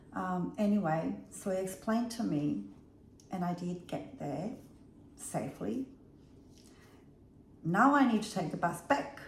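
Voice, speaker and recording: A woman with a medium pitch swings very widely in pitch and leaves long, frequent pauses, heard with audible room echo and noticeable background noise. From Bosnia. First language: Bosnian. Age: 50s. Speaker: vlogger. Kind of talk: casual storytelling vlog.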